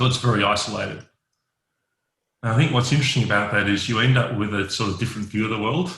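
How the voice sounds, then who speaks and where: A man with an Australian accent speaks at a very fast pace in a fairly low pitch with a bright, sharp tone. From Western Australia, Perth. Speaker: network engineer. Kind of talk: podcast interview.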